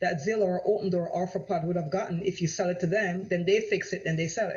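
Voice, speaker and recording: An animated tone comes through in a Jamaican accent. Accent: Jamaican, noticeable. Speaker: real estate agent. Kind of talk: live-streamed sales presentation. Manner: animated, repetitive.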